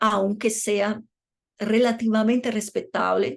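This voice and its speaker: In a Portuguese accent, someone speaks at a very slow pace with fairly even intonation against a quiet background. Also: woman. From Brazil. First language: Portuguese (speaking Spanish). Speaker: law professor. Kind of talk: lecture.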